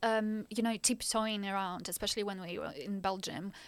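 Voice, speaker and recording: A woman with a Ukrainian accent speaks at a fairly slow pace in a fairly high pitch, on a very clean recording with a silent background. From Ukraine. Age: 20s. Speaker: master's student, refugee. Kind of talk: interview, personal story.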